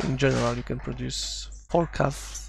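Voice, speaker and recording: With vocal fry, a man talks at a very deep, low pitch. His pace is fairly slow, and his pitch varies in an ordinary way. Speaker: strategy game youtuber. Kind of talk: gameplay commentary tutorial. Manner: thinking aloud, halting.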